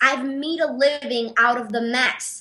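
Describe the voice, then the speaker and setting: A woman's raised, projected voice with a Panamanian accent, energetic and bright with a sharp tone, at a fairly slow pace and ordinary pitch variation. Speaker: artist and business owner. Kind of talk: interview.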